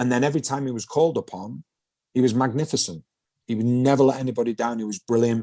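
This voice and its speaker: In a Mancunian accent, a man with a dark, mellow tone and medium pitch talks at a fairly quick pace, with a dry, close sound and no echo. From Manchester, England. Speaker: former footballer, pundit. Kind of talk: podcast interview. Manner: animated.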